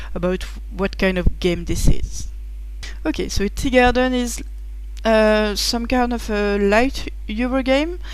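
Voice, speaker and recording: In a French accent, a woman speaks at a fairly slow pace. Audible room echo and noticeable background noise accompany her. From France. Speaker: board game reviewer. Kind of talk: game rules preview. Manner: halting, many fillers.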